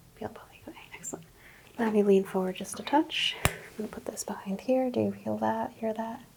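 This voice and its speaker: Speaking at a fairly quick pace with a calm tone, a woman shows big swings in loudness over noticeable background noise. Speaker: ASMR roleplay doctor. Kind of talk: ASMR medical exam roleplay. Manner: soft-spoken, calm, relaxing.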